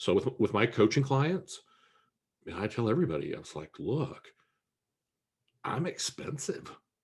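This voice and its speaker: A man with a Midwestern American accent speaks at a moderate pace, leaving long, frequent pauses and making big swings in loudness. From Kansas, US Midwest. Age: 60s. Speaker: business coach and entrepreneur. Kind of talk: interview.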